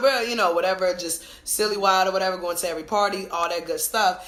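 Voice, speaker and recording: With an animated tone and ordinary pitch variation, a woman at medium pitch speaks amid audible room echo and noticeable background noise. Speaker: podcast co-host and business owner. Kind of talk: casual chat. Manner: loud.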